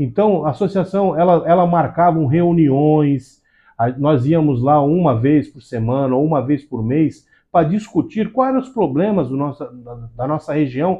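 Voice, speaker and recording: Speaking at a fairly slow pace, a man uses lively intonation and big swings in loudness in a fairly high pitch. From Santos, São Paulo state, Brazil. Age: 40s. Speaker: civil firefighter and first aid instructor. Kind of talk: interview. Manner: halting.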